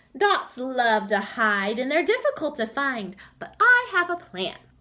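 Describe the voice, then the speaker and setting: Using a put-on character voice, a woman speaks in a confident tone at a moderate pace, her high pitch swinging very widely. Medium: read story. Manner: kind, confident.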